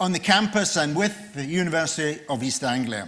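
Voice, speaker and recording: A loud man's voice, bright and sharp in tone, with lively intonation. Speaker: session chair, professor. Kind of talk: formal speaker introduction. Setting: conference room with audience, on microphone.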